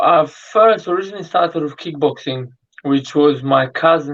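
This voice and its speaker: A man with a fairly high pitch keeps a moderate pace as he talks. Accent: Polish. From Poland. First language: Polish. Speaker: boxer. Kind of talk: interview.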